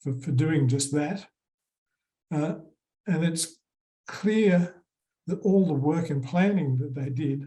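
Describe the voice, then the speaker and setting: Very slowly and somewhat breathily, a man with an Australian accent speaks in a fairly high, dark and mellow voice with ordinary pitch variation. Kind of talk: conference presentation.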